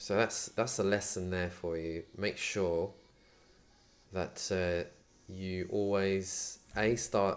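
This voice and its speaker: The recording is very clean, with a silent background. The intonation is fairly even. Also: man. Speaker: 3D modelling streamer. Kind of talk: live tutorial. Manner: monotone.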